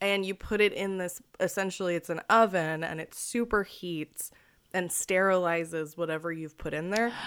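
A woman's ordinary speaking voice at medium pitch, moderate pace and fairly even intonation, on a very clean recording with a silent background. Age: 20s. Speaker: podcast co-host, art historian and comedian. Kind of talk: casual chat.

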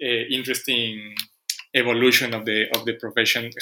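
A man's medium-pitched voice with a non-native accent and monotone, flat intonation. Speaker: podcast host. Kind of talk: interview conversation.

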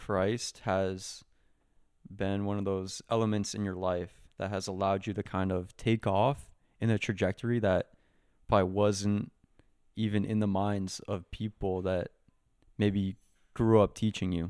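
On a very clean recording with a silent background, a man with a fairly low pitch speaks at a fairly slow pace in a monotone, flat intonation, leaving long, frequent pauses. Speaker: podcast host. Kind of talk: casual interview chat.

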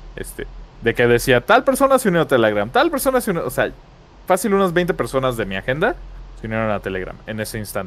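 A man talks at a fairly quick pace. He speaks with a Mexican accent. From Mexico. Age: 30s. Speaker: gaming podcast co-host. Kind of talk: casual chat.

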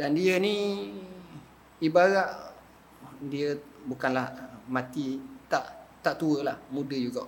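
Audible room echo carries a man's fairly high-pitched voice. He speaks at a very slow pace with long, frequent pauses. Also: ordinary pitch variation. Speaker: religious teacher. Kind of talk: religious lecture. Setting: mosque prayer hall with audience. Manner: casual colloquial.

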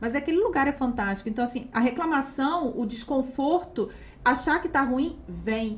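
A woman's high-pitched, animated voice at a moderate pace, with ordinary pitch variation. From Campos dos Goytacazes, Rio de Janeiro state, Brazil. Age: young. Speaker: historian and teacher, podcast co-host. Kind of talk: casual live chat. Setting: studio, live stream.

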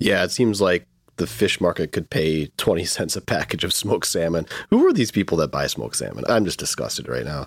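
With a Midwestern US accent, a man with a very deep, low pitch and vocal fry speaks at a fairly quick pace with lively intonation. The recording is very clean, with a silent background. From US Midwest, Michigan. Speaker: lawyer podcast host. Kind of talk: casual chat, legal discussion.

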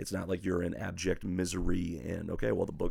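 There is vocal fry in this man's voice. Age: 40s. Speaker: pastor. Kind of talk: casual chat.

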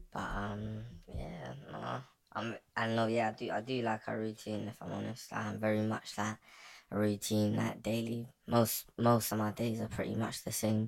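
A man speaks in a British accent. His pace is moderate.

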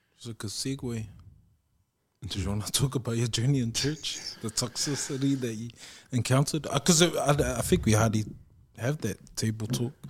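A man speaks at a fairly quick pace with a New Zealand accent, his voice somewhat breathy and medium in pitch. His pitch varies in an ordinary way, and he leaves long, frequent pauses. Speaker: podcast co-host. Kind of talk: casual interview conversation.

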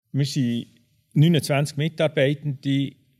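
A man at a very slow pace with fairly even intonation, music in the background. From Switzerland, Bern. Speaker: property manager. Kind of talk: interview.

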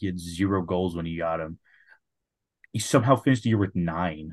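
A man with a very deep, low pitch and ordinary pitch variation, at a fairly quick pace, over a quiet background. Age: 20s. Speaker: hockey podcast co-host. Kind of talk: casual chat.

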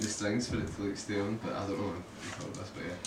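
Noticeable background noise surrounds a man talking in a fairly low voice. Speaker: band member. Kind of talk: casual chat.

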